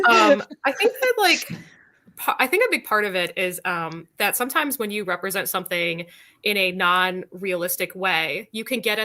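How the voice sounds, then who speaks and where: A woman speaks at a fairly quick pace. Her tone is bright and sharp. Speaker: writer, panelist. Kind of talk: panel discussion. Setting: video call. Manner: fast; animated.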